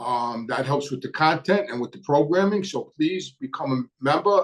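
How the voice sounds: Moderate in pace, a man speaks with ordinary pitch variation.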